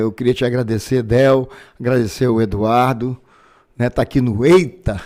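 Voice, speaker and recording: This man has a dark, mellow tone and a medium pitch. He speaks at a moderate pace with fairly even intonation. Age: 60s. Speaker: physician and politician. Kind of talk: casual interview.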